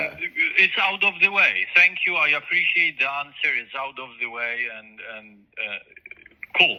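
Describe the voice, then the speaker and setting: Loudness swings widely, with long, frequent pauses. Background noise is noticeable. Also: man, moderate pace. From Poland. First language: Polish. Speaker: crisis line responder. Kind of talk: phone counseling conversation.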